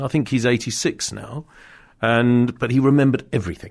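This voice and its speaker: Against a quiet background, a man with an RP accent talks at a moderate pace and medium pitch. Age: 60s. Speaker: motorsport journalist and podcast host. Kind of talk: casual chat. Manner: halting, many fillers.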